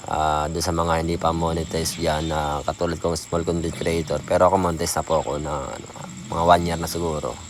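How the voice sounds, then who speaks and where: Amid noticeable background noise, a soft-spoken man talks very fast in a very deep, low, monotone voice with flat intonation. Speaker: small content creator. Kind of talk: casual vlog talk. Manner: soft, lowered voice; halting.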